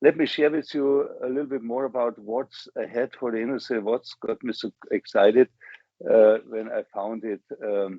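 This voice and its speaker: Speaking at a moderate pace with a German accent, a man shows ordinary pitch variation. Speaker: business executive. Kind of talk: interview. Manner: enthusiastic.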